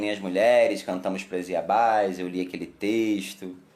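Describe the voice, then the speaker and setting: A man speaks at a fairly slow pace in a fairly low voice. His delivery is flat and monotone, with audible room echo. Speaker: umbanda temple leader. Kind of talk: live stream chat. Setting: Facebook live stream.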